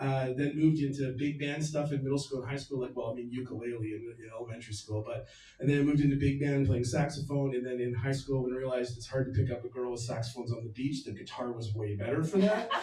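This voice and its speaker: A man with a Canadian accent talks very fast at a medium pitch, with hardly any pauses. His intonation is fairly even, and the room echo is audible. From Victoria, Canada. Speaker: venue owner. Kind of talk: speech to live audience. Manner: loud.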